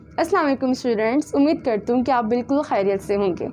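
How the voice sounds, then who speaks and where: Noticeable background noise sits behind a woman whose high-pitched voice has lively intonation. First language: Punjabi. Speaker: tutor. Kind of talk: sales pitch.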